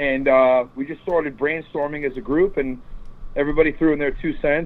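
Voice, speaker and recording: The speaker is a man with an ordinary speaking voice, pitched fairly high. He keeps a moderate pace. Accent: American. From New York suburbs. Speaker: touring rock band member. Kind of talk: casual interview.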